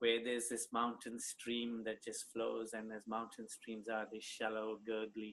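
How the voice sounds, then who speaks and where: A man speaks in a medium pitch, monotone and flat. His pace is fairly slow, with hardly any pauses. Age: 60s. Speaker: colon hydrotherapist. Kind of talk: interview conversation.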